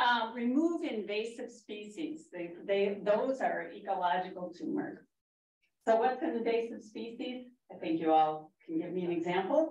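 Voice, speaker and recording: With an American accent, a woman speaks at a moderate pace in a fairly high voice with very wide pitch swings. Room echo is audible. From Minnesota. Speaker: master gardener. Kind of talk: public talk.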